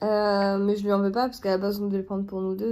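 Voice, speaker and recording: Dark and mellow in tone, this woman speaks at a fairly high pitch. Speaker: crafts youtuber. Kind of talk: casual chat. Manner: hesitant.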